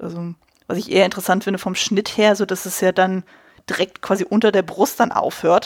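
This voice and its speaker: A woman with an ordinary speaking voice talks at a fairly quick pace, medium in pitch with fairly even intonation. The sound is dry and close with no echo, on a very clean recording with a silent background. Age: 30s. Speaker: costume designer and film podcaster. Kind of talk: casual chat.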